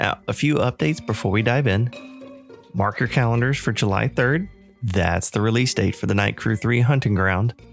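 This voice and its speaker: A man talks at a moderate pace and medium pitch, with ordinary pitch variation and very even loudness. Music plays in the background. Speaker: podcast host. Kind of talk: podcast intro.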